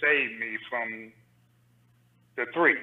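Speaking at a very slow pace, a man talks with an American accent. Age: 60s. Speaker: caller. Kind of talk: call-in discussion. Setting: call-in to live stream.

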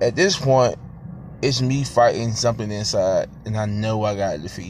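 A man talks at a moderate pace amid noticeable background noise. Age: 30s. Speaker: podcast host, youth football coach. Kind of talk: casual solo monologue. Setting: in a car. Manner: halting, many fillers.

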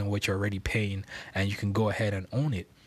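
A man's fairly low, somewhat breathy voice in a flat monotone, on a very clean recording with a silent background. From Nigeria, Lagos. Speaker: podcast host. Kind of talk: casual monologue. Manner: filler-heavy, laughing often.

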